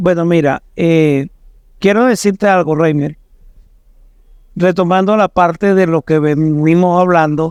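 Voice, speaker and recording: A man speaks at a high pitch and a fairly slow pace, with fairly even intonation and very even loudness. His long, frequent pauses stand out, and the sound is dry and close with no echo. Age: 60s. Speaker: pastor. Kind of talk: podcast discussion.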